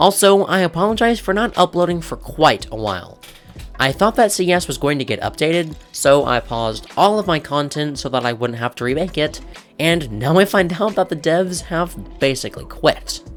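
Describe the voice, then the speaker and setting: With music playing underneath, the speech proceeds at a moderate pace. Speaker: gaming video creator. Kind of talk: game commentary narration.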